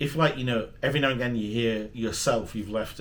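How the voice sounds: Audible room echo surrounds a man talking at a fast pace with fairly even intonation.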